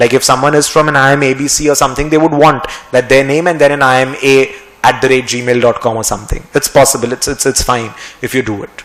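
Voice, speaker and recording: Talking at a very fast pace, a man keeps a medium pitch and fairly even intonation. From India, West Bengal. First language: Marwari. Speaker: finance teacher. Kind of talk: lecture. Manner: halting. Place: studio. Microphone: podium.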